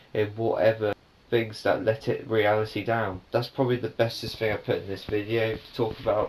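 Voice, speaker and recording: Somewhat breathy, a man's voice moves along at a moderate pace. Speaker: vlogger. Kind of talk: casual vlog talk to camera. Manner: halting, with stumbles and fillers.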